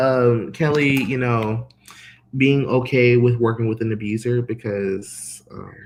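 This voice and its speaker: In an American accent, a man with a normal speaking voice talks at a fairly slow pace and medium pitch, his intonation fairly even. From Northern California. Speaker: cheerleading commentator. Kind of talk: casual chat. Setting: live stream.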